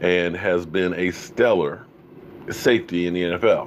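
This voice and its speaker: A man's very deep, low voice in a flat monotone, with light background noise. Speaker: sports fan show host. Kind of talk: commentary. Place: home room. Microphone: studio mic.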